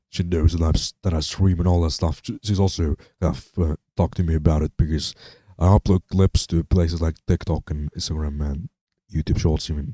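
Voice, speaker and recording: A man with a non-native accent has a very deep, low, somewhat breathy voice and a dark, mellow tone. His intonation is fairly even, and the sound is dry and close with no echo. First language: not English. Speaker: live streamer. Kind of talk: casual live stream chat. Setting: home streaming setup, speakers on. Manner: halting, many fillers and repeats.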